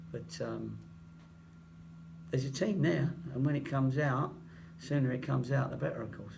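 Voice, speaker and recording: Over audible room echo, a man with an English accent talks at a moderate pace with long, frequent pauses. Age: 60s. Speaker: football manager. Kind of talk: press conference.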